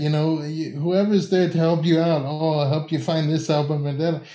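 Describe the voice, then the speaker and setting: A man with an American accent speaks at a fairly high pitch in a dark, mellow tone, with audible room echo. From Tampa, Florida. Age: 30s. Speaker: music YouTuber. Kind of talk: casual chat.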